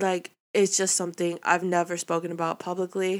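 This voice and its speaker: On a very clean recording with a silent background, a woman with a fairly low pitch talks at a moderate pace. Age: 20s. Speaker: solo podcast host. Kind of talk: casual monologue. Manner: rambling, many fillers.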